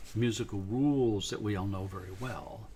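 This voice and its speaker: A man's dark, mellow, somewhat breathy voice at a moderate pace, with ordinary pitch variation. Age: 70s. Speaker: sound researcher and musician. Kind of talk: live stream talk. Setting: live stream. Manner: casual, halting.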